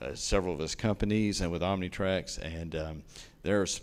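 A man's very deep, low voice in a Southern US accent, moderate in pace, with fairly even intonation. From East Tennessee, US South. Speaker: railroad company executive. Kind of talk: public meeting Q&A. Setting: county commission meeting.

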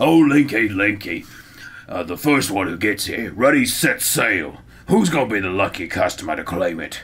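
A man puts on a gruff character voice in a Cockney accent. He speaks at a medium pitch and a moderate pace.

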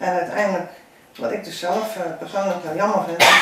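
A woman speaks with fairly even intonation. Audible room echo and light background noise surround her. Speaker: local district committee member. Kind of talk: interview answer. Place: home room.

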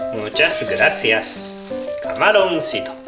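Noticeable background noise runs under the recording. The speech moves at a very slow pace. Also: man. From Japan. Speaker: cooking show host. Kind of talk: cooking tutorial talk to camera. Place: kitchen.

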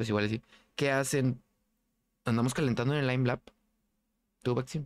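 In a Mexican accent, a man speaks at a fairly quick pace and a medium pitch with ordinary pitch variation, in a dry, close sound with no echo. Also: very clean recording, silent background. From Mexico. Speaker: gaming streamer. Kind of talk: casual chat. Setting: live stream. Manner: casual, slangy.

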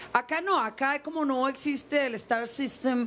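The speaker here is a woman. Some light background noise sits behind her. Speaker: guest actress. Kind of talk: interview answer. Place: street. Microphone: handheld.

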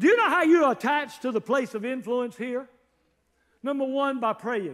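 With lively intonation and a fairly bright tone, a man talks at a moderate pace in an extremely high pitch.

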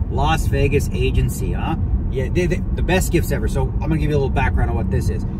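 Over loud background noise, a man speaks with a dry sound with no echo. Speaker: vlogger. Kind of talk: casual vlog chat. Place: car. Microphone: phone near.

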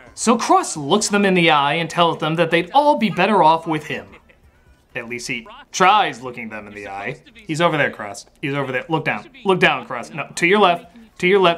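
Male voice with big swings in loudness and faint music in the background. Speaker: film reviewer. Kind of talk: comedic film review commentary. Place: studio.

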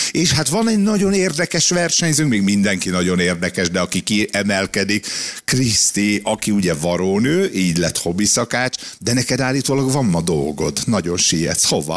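At a moderate pace over a quiet background, the voice swings very widely in pitch while its loudness stays very even. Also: man, fairly low pitch for a man. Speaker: radio co-host. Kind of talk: casual chat. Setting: studio. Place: studio. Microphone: studio mic.

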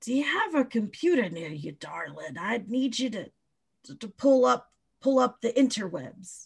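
Using a raspy, put-on character voice, a woman speaks at a fairly slow pace with a fairly high pitch.

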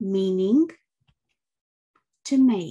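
Speaking at a very slow pace, a woman with a British accent has a dark, mellow tone, a somewhat breathy sound and lively intonation. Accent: British received pronunciation. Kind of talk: vocabulary lesson read. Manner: slow, clear.

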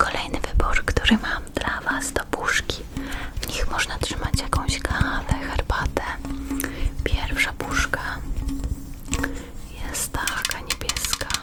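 A woman whispers at a very slow pace with long, frequent pauses. Music plays in the background. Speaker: ASMR creator guest-hosting another channel. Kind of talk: ASMR roleplay showing items, whispered Polish. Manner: soft, whispered, slow.

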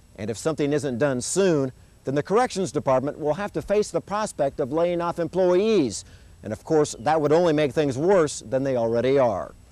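A man with a dark, mellow tone talks at a moderate pace in a dry sound with no echo. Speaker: TV news reporter. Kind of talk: news stand-up. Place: street.

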